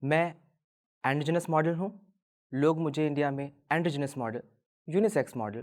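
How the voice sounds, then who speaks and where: A man with a fairly high voice is heard in a very clean recording against a silent background. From Delhi, India. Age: 20s. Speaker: androgynous model. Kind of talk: personal testimony talk.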